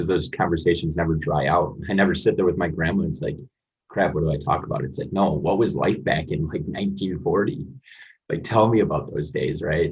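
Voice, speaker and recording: In an American accent, a man with a very deep, low pitch and a somewhat breathy voice speaks at a fairly quick pace amid audible room echo. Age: 20s. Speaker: motivational guest, recent college graduate. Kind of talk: podcast interview.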